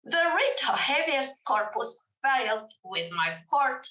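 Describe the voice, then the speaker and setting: At a fairly slow pace, a woman with a Spanish accent projects a raised voice with a bright, sharp tone and very wide pitch swings. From Argentina, Mendoza. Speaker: judge. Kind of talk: conference presentation read from paper. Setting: remote presentation to conference. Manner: reading aloud, careful.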